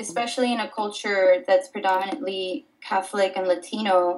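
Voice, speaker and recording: Speaking at a fairly quick pace, a woman uses a normal speaking voice with ordinary pitch variation. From Miami, Florida (born in Dominican Republic). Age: 20s. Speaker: artist. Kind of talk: casual interview.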